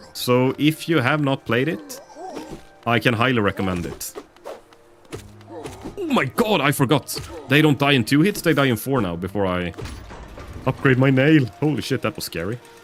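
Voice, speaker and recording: Over music in the background, a man of medium pitch talks at a moderate pace with lively intonation and long, frequent pauses. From northern Sweden. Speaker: video game streamer. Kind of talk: casual live-stream chat while gaming. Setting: live stream. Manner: chatty, with many hesitations.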